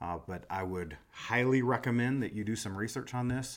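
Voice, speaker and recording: On a very clean recording with a silent background, a man with an American accent talks at a fairly slow pace and medium pitch with lively intonation. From US Midwest, Des Moines, Iowa. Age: 40s. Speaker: podcast host, real estate professional. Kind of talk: solo podcast monologue. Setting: live stream. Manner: casual with frequent fillers.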